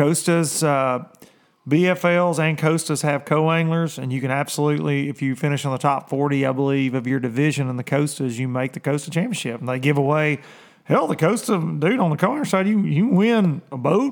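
A man speaks fairly quickly in a normal speaking voice, pitched fairly high, with ordinary pitch variation. The recording is very clean, with a silent background. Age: 30s. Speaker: professional bass fishing angler and livestream host. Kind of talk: casual livestream chat. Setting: livestream on video and social media.

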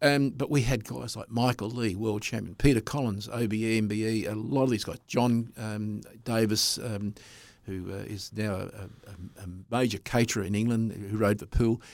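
Against a silent background in a very clean recording, a man with an Australian accent talks at a moderate pace with fairly even intonation. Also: medium pitch for a man. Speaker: speedway commentator. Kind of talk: interview.

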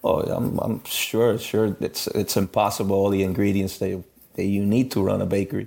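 On a very clean recording with a silent background, a man with a fairly low, dark, mellow voice speaks at a moderate pace in a flat monotone. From Miami, raised by Cuban parents. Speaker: master baker and bakery owner. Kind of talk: interview.

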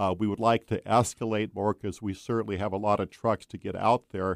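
Recorded dry and close with no echo in a very clean recording with a silent background, a man with a normal speaking voice and fairly low pitch talks at a moderate pace. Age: 60s. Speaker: truck driver and road travel correspondent. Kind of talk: radio interview. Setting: studio.

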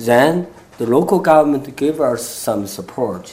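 Noticeable background noise sits behind a man's voice. He talks at a fairly slow pace with lively intonation. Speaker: solar energy company founder. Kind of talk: panel interview.

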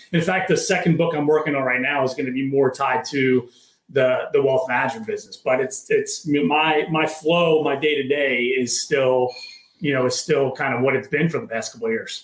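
In an unremarkable speaking voice, a man with an American accent talks at a fairly high pitch with ordinary pitch variation. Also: moderate pace. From Maryland, near Baltimore. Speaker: entrepreneur and author. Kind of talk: interview conversation.

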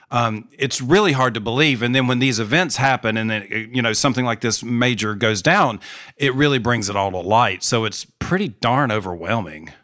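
A man with an American accent, medium pitch and a bright, sharp tone at a moderate pace, on a very clean recording with a silent background. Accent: Southern US, thickens on purpose. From North Carolina, US South. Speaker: PhD student and podcaster. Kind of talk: casual conversation, podcast interview.

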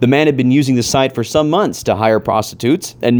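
A man speaks in an American accent at a fairly quick pace, his pitch medium and its variation ordinary. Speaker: podcast host. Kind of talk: reading aloud. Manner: stifled laughter.

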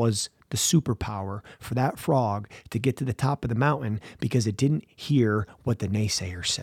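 A man talks in an animated tone at a moderate pace, somewhat breathy, with ordinary pitch variation. The recording is very clean with a silent background and a dry, close sound with no echo. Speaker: mental performance coach. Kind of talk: pep talk. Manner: animated, motivational; punchy, repetitive, emphatic.

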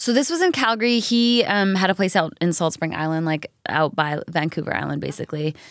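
Fairly quick and with ordinary pitch variation, a woman speaks in a plain, everyday voice. The recording is very clean, with a silent background. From Canada. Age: 30s. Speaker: country singer and TV host. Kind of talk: casual chat.

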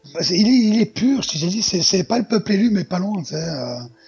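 Music can be heard behind the speech. The man keeps a moderate pace. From southern France, near Marseille. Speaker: podcaster. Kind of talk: improvised storytelling; casual chat.

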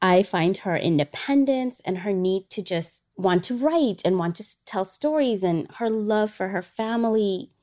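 A woman with an ordinary speaking voice, medium in pitch, talks at a fairly slow pace with lively intonation and hardly any pauses. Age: 40s. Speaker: travel company owner and dance teacher. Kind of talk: casual chat.

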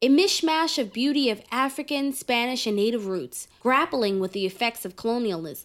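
In a plain, everyday voice with an American accent, the speaker moves along with hardly any pauses and lively intonation on a very clean recording with a silent background. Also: woman, fairly high pitch for a woman, moderate pace. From New York City, Harlem. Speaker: podcast host. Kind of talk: scripted narration.

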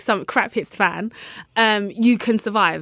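A woman with a London accent talks at a fairly slow pace and medium pitch in a bright, sharp tone. The recording is very clean, its background silent. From London, England. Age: 30s. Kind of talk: casual interview.

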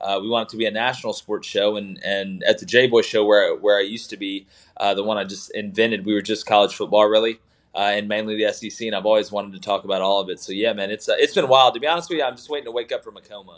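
A man with an American accent, very fast pace, fairly low pitch, fairly even intonation and big swings in loudness. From Alabama, US South. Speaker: sports podcast host, former football coach. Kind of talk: interview.

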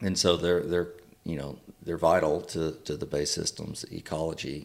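Speaking with a Texan accent, a man has a very deep, low pitch. His intonation is monotone and flat. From Texas, Wharton County. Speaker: conservation advocacy director. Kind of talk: casual interview. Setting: sit-down after day on the water.

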